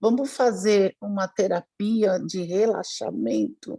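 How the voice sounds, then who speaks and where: At a very slow pace, a woman speaks at a medium pitch in a dark, mellow tone with ordinary pitch variation. The sound is dry and close, with no echo. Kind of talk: casual chat. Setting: video call.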